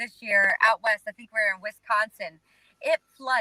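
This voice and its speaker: Recorded with a dry, close sound and no echo, a woman with a Southern US accent speaks at a fairly high pitch with ordinary pitch variation. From North Carolina. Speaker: singer-songwriter. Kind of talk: interview answer. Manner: casual, chatty.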